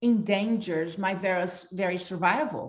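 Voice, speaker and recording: A woman with a Brazilian accent speaks with ordinary pitch variation, and audible room echo surrounds her voice. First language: Portuguese. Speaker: leadership institute founder and facilitator. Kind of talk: workshop talk.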